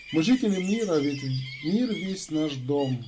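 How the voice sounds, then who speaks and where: Amid noticeable background noise and audible room echo, a man with a fairly high pitch speaks at a fairly slow pace. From Kazakhstan, Karazhal. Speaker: YouTube channel host. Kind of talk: casual address to viewers; reading poetry aloud.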